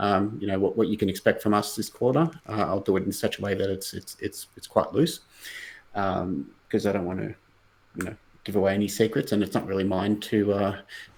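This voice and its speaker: A man speaks in an Australian accent. His pace is fairly quick and his pitch varies in an ordinary way. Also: fairly low pitch for a man. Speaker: blockchain company executive. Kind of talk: casual interview on livestream.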